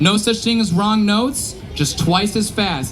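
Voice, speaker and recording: Over music in the background, a man speaks in an energetic tone with audible room echo. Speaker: live show performer leading audience participation. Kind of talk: live audience participation instructions. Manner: energetic, loud.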